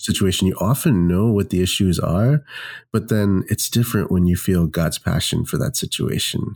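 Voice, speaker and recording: A man with an American accent speaks at a moderate pace in an unremarkable speaking voice, fairly low in pitch with lively intonation. His loudness stays very even, and the recording is very clean with a silent background. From Mumbai, India and Kentucky, US. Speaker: pastor and worship leader. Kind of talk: casual interview.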